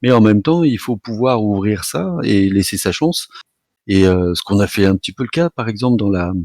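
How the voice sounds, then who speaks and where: A plain, everyday voice comes at a moderate pace with a dry, close sound and no echo. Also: man. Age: 50s. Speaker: author of an illustrated book series. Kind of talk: interview. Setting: live online event.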